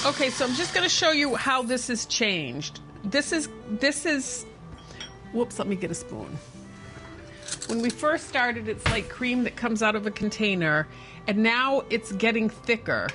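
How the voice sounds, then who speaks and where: Music plays in the background behind a woman's voice. She has a fairly high pitch, lively intonation and a moderate pace. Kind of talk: cooking tutorial.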